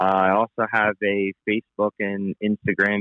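Speaking very slowly in a monotone, flat intonation, a man with a Pennsylvania accent holds a fairly low pitch. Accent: Pennsylvania (US Mid-Atlantic). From Pennsylvania, Palmerton. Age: 40s. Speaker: fishing guide. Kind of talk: casual interview.

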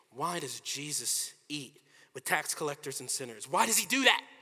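Against noticeable background noise, a man with an American accent speaks at a moderate pace in a fairly high voice. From US, Washington DC. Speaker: pastor. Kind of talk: sermon.

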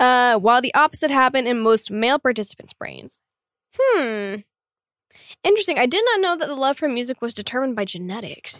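A woman speaks at a fairly quick pace with lively intonation and an animated tone. The sound is dry and close, with no echo. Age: 20s. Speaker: K-pop singer. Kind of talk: casual chat.

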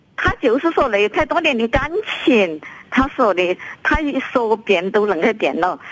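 A woman's fairly high voice at a moderate pace with very wide pitch swings and long, frequent pauses, over noticeable background noise. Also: very even loudness. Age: 70s. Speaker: caller, mother. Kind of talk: phone call-in. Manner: halting, stammering.

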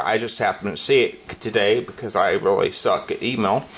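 Noticeable background noise runs beneath a man talking at a fairly slow pace. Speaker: podcast host. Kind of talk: casual banter chat. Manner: animated, joking.

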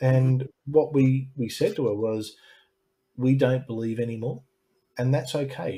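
Dark and mellow in tone, a man with an Australian accent speaks at a moderate pace in a somewhat breathy voice. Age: 40s. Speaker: YouTube channel host, former ministry student. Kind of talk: interview subject in live-stream conversation. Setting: live stream video call.

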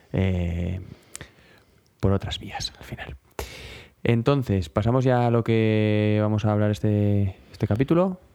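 With long, frequent pauses, a man speaks at a very slow pace in a fairly low pitch, his dark, mellow tone showing ordinary pitch variation. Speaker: music podcast co-host. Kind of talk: casual chat.

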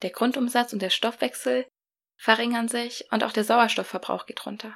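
Warm in tone with vocal fry, the voice moves at a moderate pace. The recording is very clean, with a silent background. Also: woman. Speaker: podcast host. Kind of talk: solo podcast talk, explanatory with a short breathing exercise. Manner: warm, friendly, conversational.

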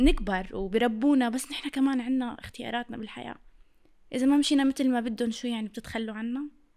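A woman talks at a fairly quick pace and a high pitch. Her pitch varies in an ordinary way. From Syria. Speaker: content creator. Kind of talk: casual interview chat.

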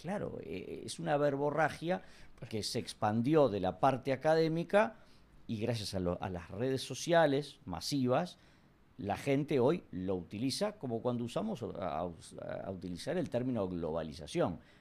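A man at a medium pitch talks at a fairly slow pace with very wide pitch swings and vocal fry, in a very clean recording with a silent background. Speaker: comedian and history teacher. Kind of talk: casual interview.

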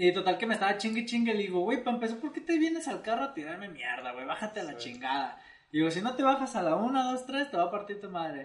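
Over noticeable background noise, a man with a Mexican accent speaks very fast at a high pitch, with very wide pitch swings and hardly any pauses. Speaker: comedy video creator. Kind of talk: casual chat.

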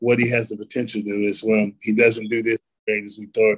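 A man speaks with an American accent at a medium pitch. His intonation is monotone and flat. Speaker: former NFL player. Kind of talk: casual interview.

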